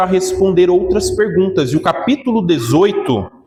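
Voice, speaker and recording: A man's high-pitched voice at a fairly slow pace with ordinary pitch variation. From Brazil, Minas Gerais. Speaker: pastor. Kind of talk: sermon.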